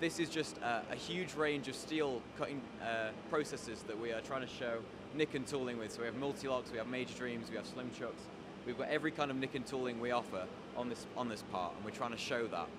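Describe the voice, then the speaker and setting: A man talks at a fairly quick pace over loud background noise. The sound is dry with no echo. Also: ordinary pitch variation. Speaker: tooling company demonstrator. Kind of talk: interview answer. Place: workshop. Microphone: handheld.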